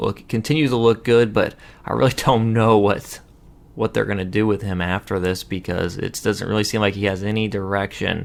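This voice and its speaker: Moderate in pace, a man talks with a fairly low pitch. He has an ordinary speaking voice. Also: ordinary pitch variation. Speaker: wrestling show host. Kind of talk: casual review talk to camera.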